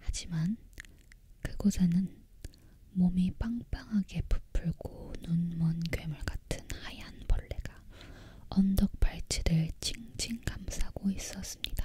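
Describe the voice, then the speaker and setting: Whispering in a calm tone, the speaker goes at a very slow pace. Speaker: ASMR content creator. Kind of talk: storybook narration read aloud. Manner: soft-spoken, calm.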